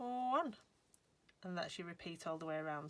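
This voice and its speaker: With a Lancashire accent, this woman has a bright, sharp tone, a medium pitch, very wide pitch swings and a moderate pace. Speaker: crochet designer. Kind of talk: crochet tutorial talk to camera. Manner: chatty, cheerful.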